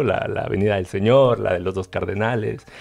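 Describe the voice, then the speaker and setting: A man speaks at a moderate pace. Faint music plays behind him. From Chiapas, Mexico. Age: 30s. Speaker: painter; guest. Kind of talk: panel discussion. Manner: halting, many repetitions. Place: studio. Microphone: headset.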